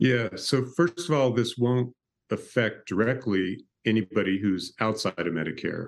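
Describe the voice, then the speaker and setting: A man's medium-pitched voice with lively intonation, at a fairly slow pace. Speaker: pharmaceutical consultant and author. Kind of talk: interview discussion. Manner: hesitant with fillers.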